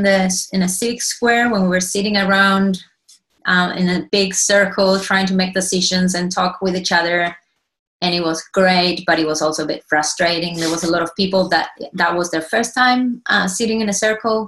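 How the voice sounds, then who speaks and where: With an Argentine accent, the speaker goes at a moderate pace with fairly even intonation. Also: woman. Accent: Argentinian. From Argentina. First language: Spanish. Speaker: cooperative member and consultant. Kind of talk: presentation.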